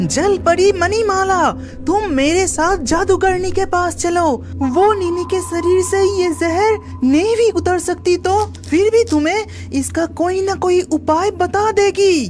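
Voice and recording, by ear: An extremely high, cartoonish character voice speaks at a fairly slow pace. Clear music plays in the background.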